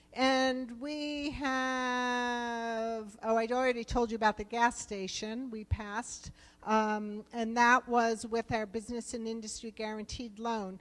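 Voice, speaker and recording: In a New Jersey accent, a woman with a fairly high-pitched voice speaks at a very slow pace, with monotone, flat intonation and hardly any pauses. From US East Coast, New Jersey. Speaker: government program director for rural business loans. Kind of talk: conference presentation. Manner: conversational, with fillers.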